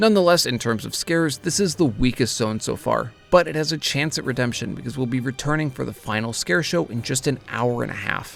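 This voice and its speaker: Music runs behind the voice. A man talks fairly quickly, his intonation lively. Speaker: theme park vlogger. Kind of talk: theme park vlog narration.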